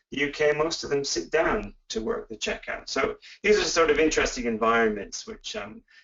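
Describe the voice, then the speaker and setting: A fairly quick, fairly high-pitched male voice with a Canadian accent and very wide pitch swings. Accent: Canadian, noticeable to UK listeners. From Canada. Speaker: professor. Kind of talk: webinar lecture. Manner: hesitant, many fillers.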